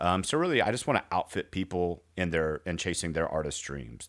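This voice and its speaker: Vocal fry runs through this fairly quick delivery with lively intonation, captured in a very clean recording against a silent background. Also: man. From rural area. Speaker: podcast host. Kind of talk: casual chat.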